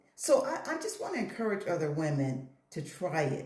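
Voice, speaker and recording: Over noticeable background noise and audible room echo, a woman speaks in an animated tone. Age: 50s. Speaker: hair and lifestyle vlogger. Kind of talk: casual vlog talk to camera.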